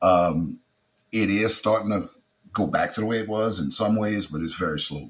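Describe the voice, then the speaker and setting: With a strong South Louisiana accent, a man speaks at a moderate pace with a fairly low pitch and ordinary pitch variation. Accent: heavy Creole South Louisiana. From South Louisiana (Acadiana), Creole. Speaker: comedian. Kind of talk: interview conversation.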